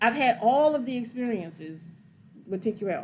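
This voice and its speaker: A woman with an animated tone and a fairly high pitch. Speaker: trucking and gig work educator. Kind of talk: livestream Q&A. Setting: livestream. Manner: fast.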